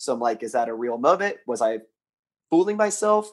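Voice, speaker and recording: Talking at a fairly quick pace with lively intonation, a man with an American accent has a normal speaking voice. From South Carolina. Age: 30s. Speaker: caller. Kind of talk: casual chat.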